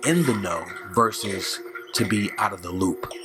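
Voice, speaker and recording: A man speaks at a fairly slow pace while music plays in the background. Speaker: video narrator commentator. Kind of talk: video commentary. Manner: put-on radio voice.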